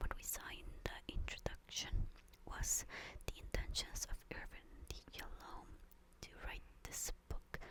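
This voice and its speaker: The speaker whispers, leaving long, frequent pauses. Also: fairly slow pace. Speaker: ASMR reader. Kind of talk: casual commentary to listeners. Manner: whispered, soft-spoken.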